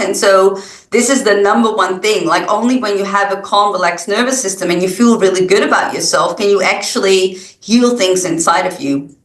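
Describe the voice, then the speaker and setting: Noticeable background noise and audible room echo. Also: woman. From Netherlands. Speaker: wellness guide. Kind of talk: interview.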